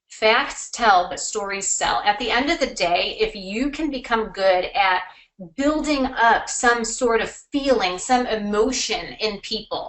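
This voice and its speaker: A woman with a plain, everyday voice, fairly high in pitch with ordinary pitch variation, at a fairly slow pace. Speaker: marketing consultant. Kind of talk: webinar presentation. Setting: online webinar.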